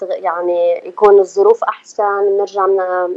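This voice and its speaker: Monotone and flat, a woman's medium-pitched voice moves at a fairly slow pace. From California, US, with years in Jordan; Palestinian family. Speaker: singer. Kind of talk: radio interview.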